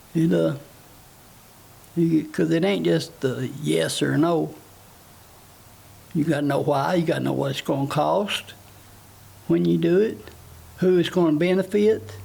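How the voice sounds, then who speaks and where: A man with a Tennessee accent talks at a fairly slow pace, leaving long, frequent pauses. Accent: rural Southern US (Tennessee). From US South, Tennessee (Palmer, Grundy County). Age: 60s. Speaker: political candidate. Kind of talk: interview. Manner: halting, many fillers.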